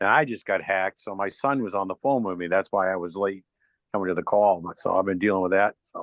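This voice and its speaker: Fairly low in pitch and fairly even in intonation, a man talks at a very fast pace in a dry, close sound with no echo, against a quiet background. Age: 70s. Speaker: community member. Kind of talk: casual chat.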